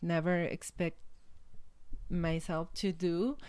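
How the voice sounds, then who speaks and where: In a quiet background, a woman with a Mexican accent talks at a very slow pace in a fairly low pitch. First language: Spanish. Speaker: life coach and motivational speaker. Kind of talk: interview. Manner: halting.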